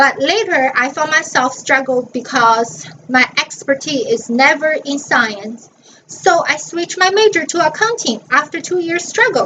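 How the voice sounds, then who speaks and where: Through noticeable background noise, a woman with a Chinese accent talks at a fairly slow pace in a high pitch with very wide pitch swings. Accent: Mandarin Chinese. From northern China (Dalian). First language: Mandarin Chinese. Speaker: college student. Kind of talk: class presentation.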